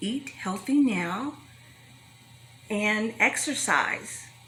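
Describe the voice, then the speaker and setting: With noticeable background noise, a woman speaks at a fairly high pitch with ordinary variation. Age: 60s. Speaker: health talk speaker. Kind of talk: motivational talk to young adults.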